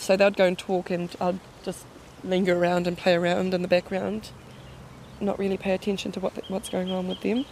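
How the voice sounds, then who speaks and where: Speaking fairly quickly with a New Zealand accent, a woman keeps a medium pitch and a monotone, flat intonation. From New Zealand, Te Puke. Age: 20s. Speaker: daughter of a missing woman. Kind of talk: interview.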